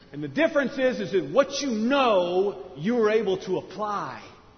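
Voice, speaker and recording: High-pitched male speech with very wide pitch swings, audible room echo and noticeable background noise. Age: 40s. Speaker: pastor. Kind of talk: sermon.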